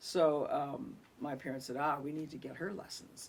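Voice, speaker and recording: A woman with an American accent. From US Midwest (Iowa, Illinois). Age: 70s. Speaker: singer-songwriter. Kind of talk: interview, personal story. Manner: conversational, with fillers.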